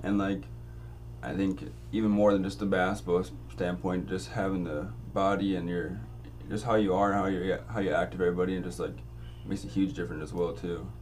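Over background music and audible room echo, a man with a very deep, low voice talks at a fairly quick pace, his pitch swinging very widely, with long, frequent pauses. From Grand Forks, North Dakota. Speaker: student podcast host. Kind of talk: casual interview.

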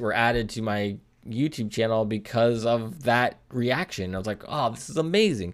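The recording is very clean, with a silent background. A man talks at a moderate pace and medium pitch. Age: 40s. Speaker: podcast host. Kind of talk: casual solo monologue. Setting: home studio. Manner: halting.

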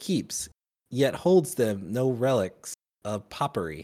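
Heard on a very clean recording with a silent background, a man's medium-pitched voice has a dark, mellow tone and very wide pitch swings. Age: 30s. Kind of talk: casual chat. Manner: joking.

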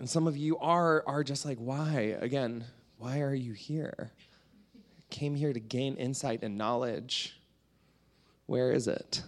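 A man with a Canadian accent speaks at a fairly slow pace and medium pitch, his intonation fairly even and broken by long, frequent pauses, on a very clean recording with a silent background. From Canada. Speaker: artist and author. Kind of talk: stand-up style talk. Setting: stage with audience.

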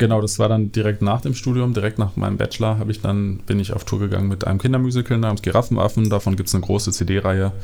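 Over noticeable background noise, a man rattles on at a very fast pace with hardly any pauses, his fairly low voice monotone and flat. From Germany, southern Westphalia (NRW). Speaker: keyboardist and music producer. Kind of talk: casual interview chat. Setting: in person at host's home.

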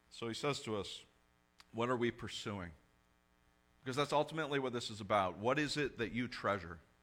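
A man talks at a fairly quick pace, broken by long, frequent pauses. His medium pitch shows ordinary variation on a very clean recording with a silent background. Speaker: pastor. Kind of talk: sermon. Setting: church. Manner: loud.

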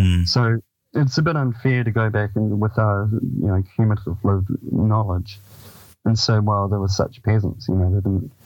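Music plays behind a speaker with a New Zealand accent at a moderate pace. The loudness stays very even, and the pitch varies in an ordinary way. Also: man, fairly low pitch for a man. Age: 50s. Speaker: author and paranormal researcher. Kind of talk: radio interview.

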